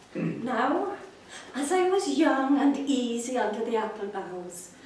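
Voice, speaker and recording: Over noticeable background noise and audible room echo, a woman with a fairly high pitch speaks very slowly with lively intonation. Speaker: amateur poetry reader. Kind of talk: poetry reading.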